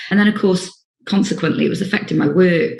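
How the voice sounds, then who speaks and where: A woman speaks with vocal fry. Her pitch varies in an ordinary way. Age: 50s. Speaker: social worker sharing lived experience. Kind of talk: personal testimony. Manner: hesitant, many fillers.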